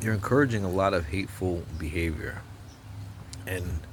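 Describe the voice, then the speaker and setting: A man with an American accent talks at a fairly quick pace in a very deep, low pitch with ordinary pitch variation. His tone is animated and somewhat breathy. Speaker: political commentator vlogger. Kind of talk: opinion rant to camera. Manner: animated, stammering repetitions.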